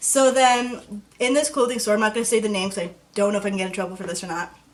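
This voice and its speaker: Over noticeable background noise, a woman talks at a very fast pace with medium pitch and ordinary pitch variation. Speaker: YouTuber. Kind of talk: storytime vlog. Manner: casual.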